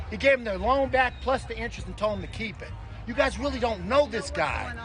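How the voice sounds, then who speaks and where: Over noticeable background noise, a man speaks at a very fast pace in an animated tone with big swings in loudness. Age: 60s. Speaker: protester at a street protest. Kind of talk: heated debate.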